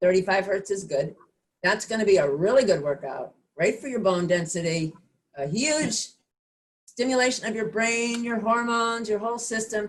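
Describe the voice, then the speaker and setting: A woman speaks at a moderate pace with a fairly high pitch in an ordinary speaking voice. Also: lively intonation. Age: 60s. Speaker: fitness instructor. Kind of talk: online class instruction. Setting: video call.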